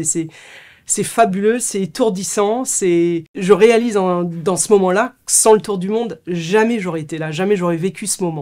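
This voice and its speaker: A woman speaks at a medium pitch in a dark, mellow tone. Her pace is moderate, her pitch variation ordinary, and the background quiet. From France. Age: 40s. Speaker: author and ultrarunner. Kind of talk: book presentation monologue; interview answer. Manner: hesitant, repeating words. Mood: warm, reflective. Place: studio.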